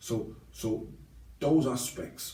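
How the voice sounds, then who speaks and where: With a Liverpool accent, this somewhat breathy voice has a dark, mellow tone and audible room echo. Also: man. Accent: Liverpool (Scouse). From Liverpool, England. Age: 60s. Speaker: ex-offender interviewee. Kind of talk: interview. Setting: podcast. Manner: halting, many fillers.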